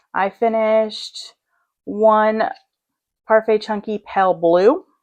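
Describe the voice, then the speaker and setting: Against a quiet background, a woman talks at a very slow pace in a fairly high pitch with ordinary pitch variation. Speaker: crochet youtuber and small business maker. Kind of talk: casual vlog chat. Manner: loud. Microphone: mic close to speaker.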